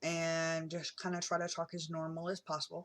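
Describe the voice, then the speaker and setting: A woman is speaking. Her tone is bright and sharp. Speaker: vlogger. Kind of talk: casual vlog talk. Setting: in a car. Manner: hesitant, many ums.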